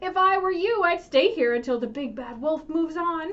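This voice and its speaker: Putting on a character voice, a woman talks at a moderate pace with an extremely high pitch. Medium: read story.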